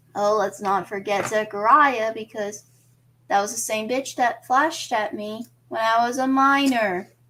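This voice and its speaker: The voice has a bright, sharp tone at a fairly slow pace, on a very clean recording with a silent background. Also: woman, fairly high pitch for a woman, ordinary pitch variation. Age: 20s. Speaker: streamer. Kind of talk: casual livestream monologue.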